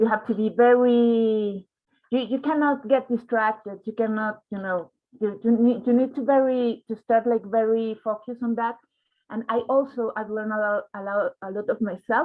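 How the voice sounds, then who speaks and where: Intonation stays fairly even as the speaker talks at a moderate pace with a Spanish accent. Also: woman, fairly high pitch for a woman. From Mexico. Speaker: journalist. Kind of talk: panel discussion. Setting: online livestream. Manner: halting, many repetitions.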